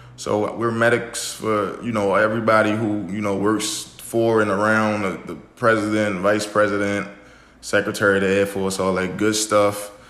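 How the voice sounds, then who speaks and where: A man with a Baltimore accent speaks in a monotone, flat intonation at a fairly low pitch. His pace is moderate, and audible room echo surrounds him. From US, Baltimore, Maryland. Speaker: military medic and forex trader. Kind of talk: podcast interview. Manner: casual, with filler words.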